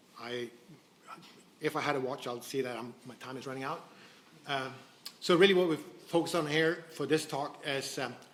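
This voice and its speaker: With audible room echo, a man speaks at a moderate pace and fairly even intonation, pausing long and often as his loudness swings widely. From Sweden. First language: Swedish. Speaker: biotech company co-founder. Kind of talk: conference presentation. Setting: stage with audience. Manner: halting, many false starts.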